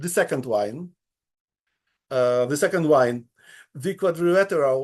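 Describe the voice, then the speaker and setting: Over a quiet background, a man speaks fairly slowly with ordinary pitch variation. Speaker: independent researcher. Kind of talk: conference talk. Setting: conference with audience. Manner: halting, many fillers and repetitions.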